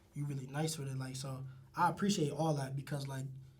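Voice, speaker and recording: Over noticeable background noise and audible room echo, a man talks at a very fast pace in a fairly high pitch. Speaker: rapper. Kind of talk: casual interview chat. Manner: animated.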